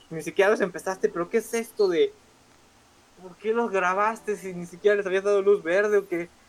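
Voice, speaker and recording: This man talks fairly quickly in a high pitch with fairly even intonation and big swings in loudness. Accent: Mexican. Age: 20s. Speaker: podcast co-host. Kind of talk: casual chat.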